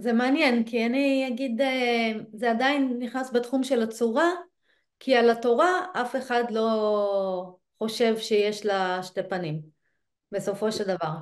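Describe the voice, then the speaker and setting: Against a quiet background, a woman speaks in a fairly high voice at a fairly slow pace, with ordinary pitch variation and long, frequent pauses. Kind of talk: casual study discussion. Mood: thoughtful, engaged. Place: home room. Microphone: video call.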